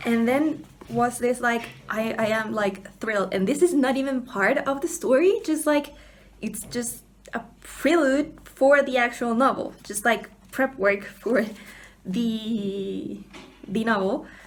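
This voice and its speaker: A woman in a Spanish accent speaks at a very slow pace in a fairly high pitch with ordinary pitch variation. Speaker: book vlogger. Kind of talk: casual vlog. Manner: halting, repeats words.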